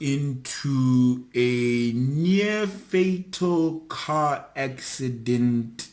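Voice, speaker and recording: A man's fairly high voice with audible room echo. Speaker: YouTuber. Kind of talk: storytelling vlog. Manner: loud; energetic.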